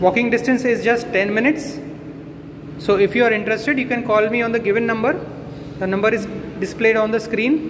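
Through noticeable background noise, a man talks very fast in an extremely high voice. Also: ordinary pitch variation. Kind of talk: property tour commentary. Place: empty room. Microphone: phone near.

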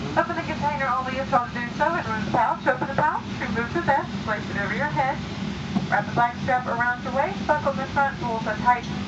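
Loud background noise fills the recording. A woman talks very fast, with ordinary pitch variation. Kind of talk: safety announcement. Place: plane. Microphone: pa.

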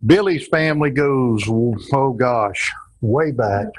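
A man speaks with a Southern US accent at a very slow pace. His pitch variation is ordinary, and the background is quiet. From Amelia Island, Florida. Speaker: host, retired firefighter. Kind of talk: casual interview talk. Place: workshop. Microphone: lapel.

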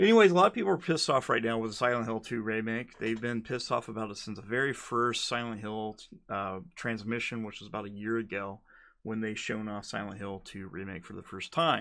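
A man's voice at a fairly quick pace, with ordinary pitch variation. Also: big swings in loudness, quiet background. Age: 30s. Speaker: gaming YouTuber. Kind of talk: casual solo commentary video. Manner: hesitant with frequent fillers. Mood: opinionated, mildly irritated. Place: home room. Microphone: studio mic.

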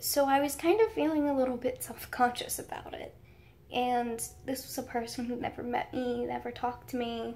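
A woman with an American accent speaks at a moderate pace, her loudness swinging widely. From United States. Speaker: YouTuber. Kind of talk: story time vlog. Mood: excited, giddy storytelling. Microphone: phone near.

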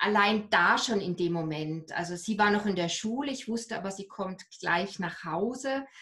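A woman at a fairly slow pace with ordinary pitch variation, quiet background. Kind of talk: interview answer. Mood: reflective, personal, hesitant. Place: home room. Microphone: video call.

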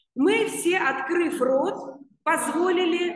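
Lively intonation in a quiet background, with audible room echo. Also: woman. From Georgia. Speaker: online news channel host. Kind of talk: interview. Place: home room.

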